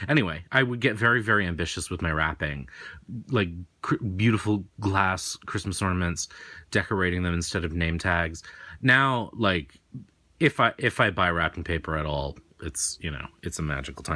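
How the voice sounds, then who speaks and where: Over a very clean recording with a silent background, a man speaks with a very deep, low pitch, lively intonation and a bright, sharp tone. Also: moderate pace. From New England.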